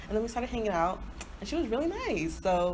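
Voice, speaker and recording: A woman with an American accent talks at a very fast pace in an animated tone. Audible room echo and noticeable background noise surround her. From Nigerian family, grew up in US. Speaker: podcast co-host. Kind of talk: casual chat.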